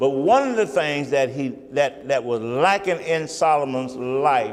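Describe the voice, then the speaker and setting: Noticeable background noise and audible room echo surround this man. He speaks at a fairly high pitch with ordinary pitch variation. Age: 70s. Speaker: pastor. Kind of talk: sermon. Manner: halting.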